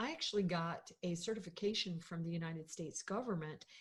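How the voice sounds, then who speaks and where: Somewhat breathy, a woman talks fairly quickly with an American accent and ordinary pitch variation. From US South, Florida. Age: 60s. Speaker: podcast co-host, business owner. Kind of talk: casual discussion. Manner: hesitant, many fillers.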